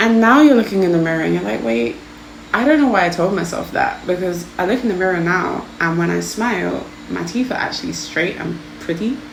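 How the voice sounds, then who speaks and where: Her voice is fairly low for a woman, with very wide pitch swings. Noticeable background noise and audible room echo fill the recording. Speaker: tarot card reader. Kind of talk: pick-a-card tarot reading. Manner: stuttering a lot; casual, hesitant with fillers.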